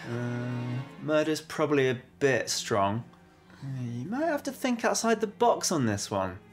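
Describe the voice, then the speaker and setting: A man at a fairly slow pace over faint music in the background. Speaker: comedy video host. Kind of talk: comedic sketch chat to camera. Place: kitchen.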